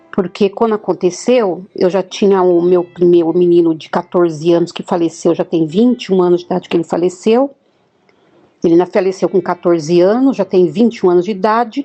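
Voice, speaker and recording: Music plays in the background as a woman talks at a fairly quick pace. Her pitch is medium, with ordinary variation. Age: 60s. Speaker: near-death experiencer. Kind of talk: testimony. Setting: voice message.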